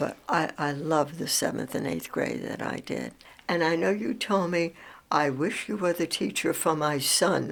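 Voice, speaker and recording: On a very clean recording with a silent background, a woman speaks at a fairly slow pace in a fairly low voice with vocal fry and ordinary pitch variation. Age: 80s+. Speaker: retired schoolteacher. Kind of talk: oral history interview.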